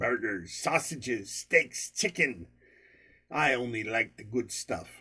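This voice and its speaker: In a very clean recording with a silent background, a man puts on a gruff character voice of medium pitch and speaks at a fairly slow pace. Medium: read story. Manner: gruff, cross.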